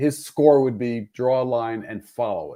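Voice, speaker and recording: With a dark, mellow tone and lively intonation, a man talks at a medium pitch and moderate pace on a very clean recording with a silent background. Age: 70s. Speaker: former state legislator and filmmaker. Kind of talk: casual chat.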